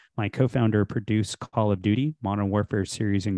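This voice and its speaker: A plain, everyday voice from a man, fairly quick and with fairly even intonation. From Texas (Houston), born in India. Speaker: tech startup founder. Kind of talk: interview.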